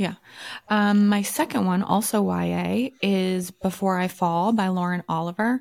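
Very clean and silent behind her, a woman speaks in an ordinary speaking voice at medium pitch with very even loudness. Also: fairly even intonation. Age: 40s. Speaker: podcast co-host. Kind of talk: casual chat.

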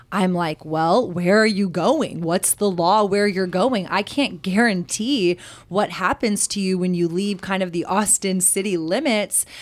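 A woman's medium-pitched voice with a Texan accent, fairly slow with hardly any pauses and ordinary pitch variation. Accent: Texan American English. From Texas. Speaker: CBD business owner. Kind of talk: podcast interview.

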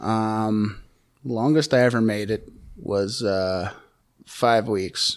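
Speaking very slowly, a man leaves long, frequent pauses. His pitch is fairly low with ordinary variation. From Calgary, Alberta, Canada. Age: 30s. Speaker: person in addiction recovery. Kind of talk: testimony. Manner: halting, many fillers.

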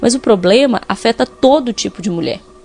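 A woman speaks at a moderate pace in a fairly high voice. Noticeable background noise runs underneath. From Minas Gerais interior, Brazil. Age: 30s. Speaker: podcast host. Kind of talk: scripted narration.

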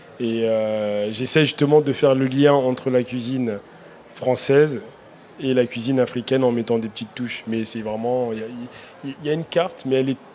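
A man with a medium pitch speaks at a moderate pace with fairly even intonation, against noticeable background noise. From Africa, came to France at 9. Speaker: chef. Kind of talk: live radio panel discussion. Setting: outdoor live broadcast with audience. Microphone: held too far from the mic.

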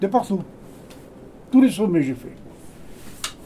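A man speaks at a high pitch. His pitch swings very widely. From Hautes-Alpes, France. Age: 90s. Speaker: retired shepherd. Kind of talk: casual chat. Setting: indoors in a cabin.

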